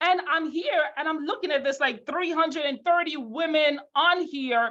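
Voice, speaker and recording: A woman with a Jamaican accent speaks in an animated tone. Noticeable background noise can be heard. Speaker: financial services leader. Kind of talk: motivational webinar talk.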